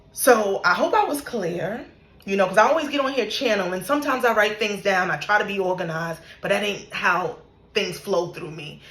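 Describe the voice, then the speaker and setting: A woman with a medium pitch speaks at a fairly quick pace, her tone animated and her intonation lively. Audible room echo and noticeable background noise surround her voice. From New York. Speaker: spiritual content creator. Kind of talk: casual monologue, spiritual story time.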